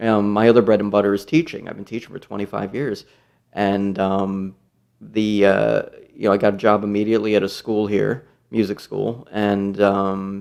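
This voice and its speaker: A man with a New York accent and a fairly low pitch, at a moderate pace in a monotone, flat intonation, on a very clean recording with a silent background. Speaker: guitarist and music teacher. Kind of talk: casual interview chat.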